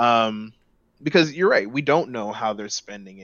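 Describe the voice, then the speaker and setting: A man's ordinary speaking voice with an American accent, medium in pitch with ordinary pitch variation, at a fairly quick pace. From Los Angeles, US. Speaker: gaming podcast guest. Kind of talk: casual chat.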